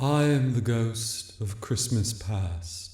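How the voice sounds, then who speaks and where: A soft-spoken man in a put-on character voice, medium in pitch, at a very slow pace with slight echo. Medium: read story. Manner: gentle, grave.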